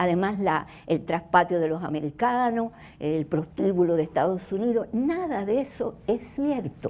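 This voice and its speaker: This woman's voice sits at a medium pitch with a dark, mellow tone. Her intonation is lively. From Cuba. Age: 70s. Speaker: doctor and speaker. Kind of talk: talk to an audience.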